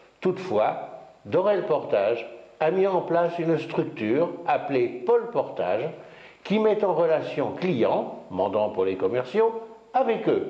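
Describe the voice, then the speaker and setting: Against noticeable background noise, a man talks at a very slow pace with very even loudness. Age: 60s. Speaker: company founder. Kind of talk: business presentation. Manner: formal.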